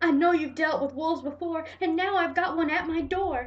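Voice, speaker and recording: A woman uses a put-on character voice pitched extremely high. She speaks at a moderate pace. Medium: read story.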